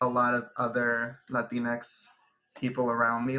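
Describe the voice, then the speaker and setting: A man's medium-pitched, bright and sharp voice with an American accent, very slow and monotone, with flat intonation. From Houston, Texas. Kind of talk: casual group chat. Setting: video call.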